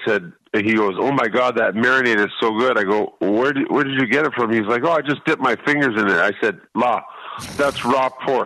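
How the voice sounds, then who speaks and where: With ordinary pitch variation, a man talks in a bright, sharp tone. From Canada. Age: 70s. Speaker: radio co-host, restaurant owner. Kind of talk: casual chat.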